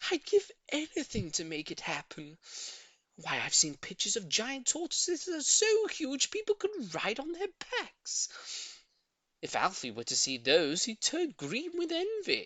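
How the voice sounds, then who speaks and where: A put-on character voice pitched high moves along at a moderate pace. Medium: read story. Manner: excitable, gushing.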